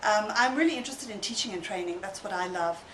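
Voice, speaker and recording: Noticeable background noise and audible room echo surround a woman speaking with a South African accent. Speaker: online teacher training company director. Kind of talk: interview.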